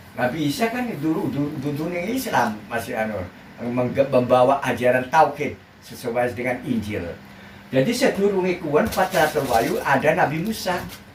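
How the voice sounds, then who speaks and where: Noticeable background noise runs under a man speaking at a moderate pace. His fairly high pitch makes very wide swings. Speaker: Islamic preacher. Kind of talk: religious sermon.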